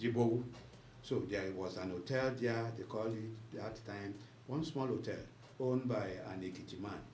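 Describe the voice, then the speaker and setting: A man with a Nigerian accent and a medium pitch talks at a moderate pace with ordinary pitch variation and long, frequent pauses, over noticeable background noise. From Nigeria, Lagos Island. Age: 80s+. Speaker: journalist. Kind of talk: interview answer.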